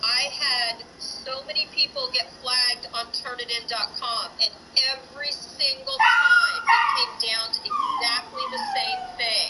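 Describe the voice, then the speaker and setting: With music in the background, the speaker goes at a fairly slow pace with hardly any pauses. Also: woman. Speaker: teacher. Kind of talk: online class lecture.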